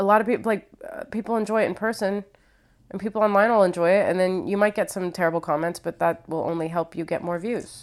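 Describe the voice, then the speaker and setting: Speaking very fast, a woman with a Midwestern accent uses ordinary pitch variation. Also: medium pitch for a woman, very clean recording, silent background. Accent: American Midwest. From Ohio, US Midwest. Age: 30s. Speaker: stand-up comedian. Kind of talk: casual interview.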